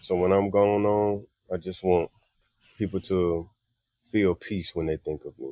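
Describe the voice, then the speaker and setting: Dark and mellow in tone, the voice speaks fairly slowly in a Southern US accent, with monotone, flat intonation, long, frequent pauses and a dry, close sound with no echo. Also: man, very deep, low pitch for a man. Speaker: singer and musician. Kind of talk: casual chat. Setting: living room.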